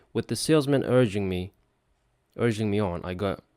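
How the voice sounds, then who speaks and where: Over music in the background, a man with a Dutch accent speaks at a moderate pace in a fairly low pitch with ordinary pitch variation. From Netherlands. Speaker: English learner. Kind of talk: book read-aloud practice. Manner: halting, with repeated words.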